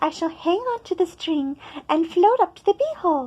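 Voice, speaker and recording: At a moderate pace, the speaker uses a squeaky, put-on character voice. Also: woman, extremely high pitch for a woman. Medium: read story.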